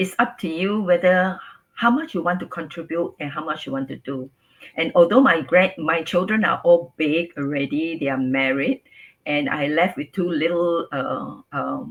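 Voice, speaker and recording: The speaker talks in a Singaporean accent at a fairly slow pace. The intonation is lively. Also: woman. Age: 60s. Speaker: businesswoman and grandmother. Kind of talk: interview.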